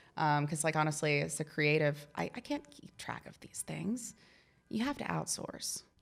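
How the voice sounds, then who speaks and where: A woman talks at a moderate pace with very deep, low pitch, vocal fry and ordinary pitch variation. Her loudness swings widely. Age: 30s. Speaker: mural artist. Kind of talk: casual interview chat. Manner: casual, hesitant with fillers.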